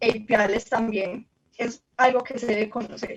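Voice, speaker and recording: A high-pitched woman at a fairly slow pace. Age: 20s. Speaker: university student. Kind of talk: presentation.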